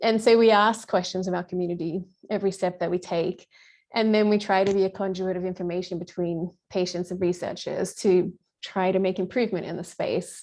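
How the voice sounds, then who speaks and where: She speaks in an Australian accent at a fairly quick pace. Her medium pitch carries a monotone, flat intonation. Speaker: patient advocacy founder. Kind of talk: podcast interview.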